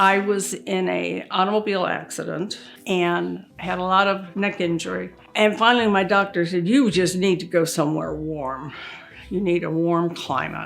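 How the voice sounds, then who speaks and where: Speaking at a moderate pace with an American accent, a woman uses a fairly low pitch and ordinary pitch variation, with audible room echo around her. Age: 80s+. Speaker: wife, great-grandmother. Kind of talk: interview testimony, life story.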